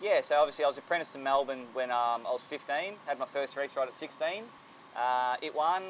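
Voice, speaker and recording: With an Australian accent, a man speaks at a fairly quick pace, fairly high in pitch with ordinary pitch variation. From Australia, Sydney. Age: 30s. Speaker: jockey. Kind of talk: interview.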